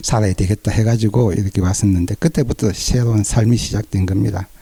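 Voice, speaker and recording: A man's fairly low, dark, mellow voice with fairly even intonation, in a dry, close sound with no echo. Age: 60s. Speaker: cancer patient. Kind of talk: interview testimony.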